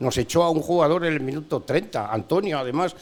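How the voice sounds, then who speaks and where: Very fast male speech against noticeable background noise. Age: 70s. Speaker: veteran sports radio broadcaster. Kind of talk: casual interview chat. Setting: bar.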